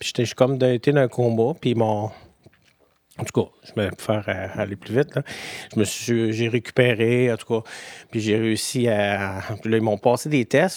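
Someone with a Quebec accent speaks at a moderate pace with fairly even intonation in a dry, close sound with no echo. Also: man. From Quebec City, Beauport. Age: 50s. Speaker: person living with HIV. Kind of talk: personal testimony interview. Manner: halting, many fillers.

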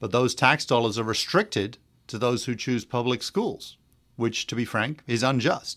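In a very clean recording with a silent background, a man with an American accent talks at a moderate pace in a medium pitch with ordinary pitch variation. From England. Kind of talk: radio interview.

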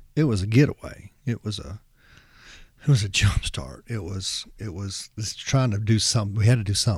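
Somewhat breathy, a man speaks with a fairly low voice. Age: 50s. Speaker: rock music podcast host. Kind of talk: solo podcast monologue. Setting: home recording, no music. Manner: halting, many fillers.

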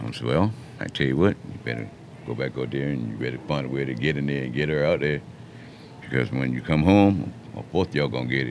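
Over noticeable background noise, a man with a South Carolina Lowcountry accent talks very fast in a very deep, low pitch. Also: ordinary pitch variation. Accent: Southern US, Lowcountry South Carolina. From US South, Mount Pleasant, South Carolina. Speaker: public housing resident, former restaurant and drywall worker. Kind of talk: casual interview. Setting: radio studio.

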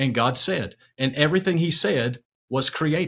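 Speaking at a moderate pace with ordinary pitch variation, a man has an ordinary speaking voice. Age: 50s. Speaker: executive pastor and author. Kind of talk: interview about faith.

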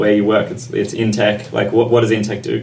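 The speaker has an Australian accent. Background noise is noticeable, and room echo can be heard. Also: man. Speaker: podcast co-host. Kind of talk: casual chat.

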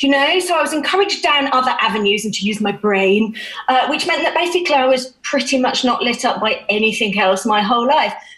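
Very fast and hardly pausing, a high-pitched woman talks with lively intonation and very even loudness. Noticeable background noise runs behind her. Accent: British. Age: 40s. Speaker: children's music educator and hypnotherapist. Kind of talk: interview.

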